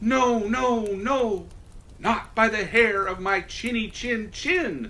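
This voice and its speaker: A man's high-pitched, put-on character voice at a very slow pace. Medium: read story. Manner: defiant.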